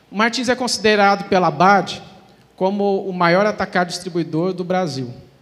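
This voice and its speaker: A man speaks with a Minas Gerais accent at a high pitch. His pace is moderate and his pitch variation ordinary. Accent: mineiro (Minas Gerais) Brazilian Portuguese. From Brazil, Minas Gerais (Uberlândia). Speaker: e-commerce manager. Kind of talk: conference talk.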